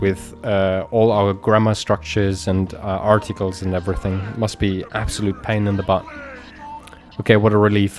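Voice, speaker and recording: With music playing in the background, the speaker talks at a fairly quick clip in a German accent, using a monotone, flat intonation. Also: man. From Germany. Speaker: video game streamer. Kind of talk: live gameplay stream chat. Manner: halting, many repeats and fillers.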